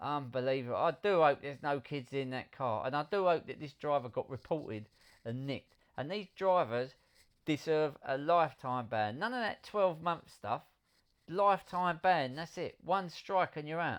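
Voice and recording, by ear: Ordinary pitch variation at a moderate pace, with a clear, smooth tone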